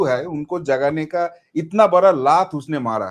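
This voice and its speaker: A man with a non-native accent speaks at a fairly high pitch. His pitch variation is ordinary, and the recording is very clean with a silent background. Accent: non-native Hindi. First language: Bengali (speaking Hindi). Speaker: political commentator. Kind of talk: interview.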